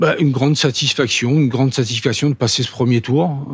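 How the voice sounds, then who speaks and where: A man delivers his words at a fairly quick pace while noticeable background noise carries on. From Paris. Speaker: former footballer. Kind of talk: interview. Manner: halting.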